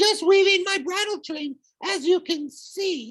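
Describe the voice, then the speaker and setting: A squeaky, put-on character voice with extremely high pitch goes at a fairly slow pace. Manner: feigning innocence.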